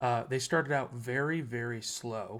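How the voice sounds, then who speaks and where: Quiet and bright with a sharp tone, a man speaks with fairly even intonation on a very clean recording with a silent background. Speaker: sports reaction youtuber. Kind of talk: casual reaction vlog. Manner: quiet, subdued.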